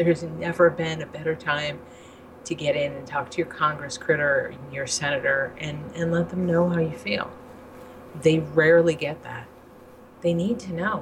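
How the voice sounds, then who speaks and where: With noticeable background noise behind her, a woman with a very deep, low voice speaks at a moderate pace, showing ordinary pitch variation and big swings in loudness. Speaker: vaping advocate. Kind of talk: casual chat.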